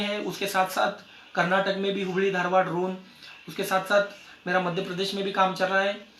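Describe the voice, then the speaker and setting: A man's high-pitched, raised and projected voice with a Marathi accent, audible room echo and noticeable background noise. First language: Marathi (speaking Hindi). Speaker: network marketing distributor. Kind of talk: success story talk at a meeting. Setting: meeting with audience. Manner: halting.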